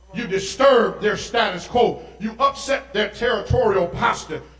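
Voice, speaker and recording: Animated man at an extremely high pitch, moderate pace, with audible room echo and music in the background. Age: 50s. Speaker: pastor. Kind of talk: sermon.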